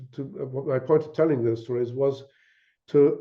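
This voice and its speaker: This man's voice sits at a medium pitch and sounds somewhat breathy. His delivery is monotone and flat at a moderate pace. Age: 80s+. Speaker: author and scientist discussing his book. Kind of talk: academic discussion. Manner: halting, many repetitions and fillers.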